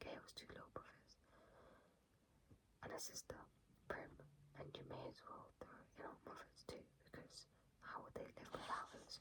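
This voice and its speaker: A woman whispers. She leaves long, frequent pauses. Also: moderate pace. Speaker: ASMR creator. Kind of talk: ASMR book reading. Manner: whispered.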